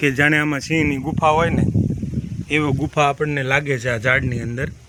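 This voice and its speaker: A fairly high-pitched man in a monotone, flat intonation amid noticeable background noise. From Gujarat coastal village. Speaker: village vlogger. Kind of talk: video tour narration. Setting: outdoors at seaside temple.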